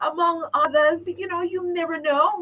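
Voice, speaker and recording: A woman's raised, projected voice at a fairly slow pace. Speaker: radio show host. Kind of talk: live radio hosting. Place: studio. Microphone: studio mic.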